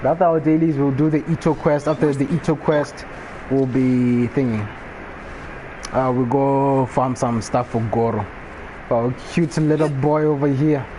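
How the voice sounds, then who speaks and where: A man speaks at a moderate pace in a fairly high pitch, with very even loudness and fairly even intonation. Noticeable background noise runs under his voice. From Botswana. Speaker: gaming streamer. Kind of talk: live gameplay stream chat. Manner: casual.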